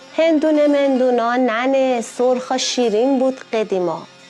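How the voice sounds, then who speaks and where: A high-pitched woman with an Isfahani accent, speaking very slowly, music in the background. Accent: Isfahani Persian. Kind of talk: poetry reading.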